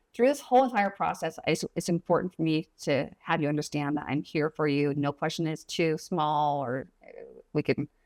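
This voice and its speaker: Very deep and low in pitch, a woman speaks with hardly any pauses and ordinary pitch variation, the sound dry and close with no echo. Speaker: real estate agent. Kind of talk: casual consultation explaining home buying. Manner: fast; animated.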